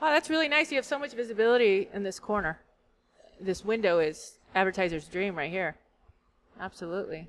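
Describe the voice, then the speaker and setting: A woman speaks at a fairly quick pace and medium pitch, with very wide pitch swings. She leaves long, frequent pauses. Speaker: guest. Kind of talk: casual chat.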